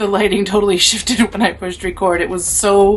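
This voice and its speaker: A woman's animated, medium-pitched voice amid noticeable background noise. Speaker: spiritual medium and witch content creator. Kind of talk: casual talk to camera, personal ghost story told to the audience. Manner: expressive, animated, swearing.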